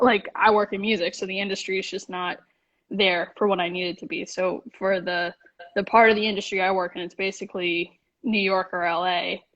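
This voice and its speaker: Someone with an American accent talks at a fairly quick pace in a monotone, flat intonation. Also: woman, medium pitch for a woman. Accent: Massachusetts accent, comes and goes. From Massachusetts, US. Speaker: music industry worker. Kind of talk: casual chat. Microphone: connection kept chopping out.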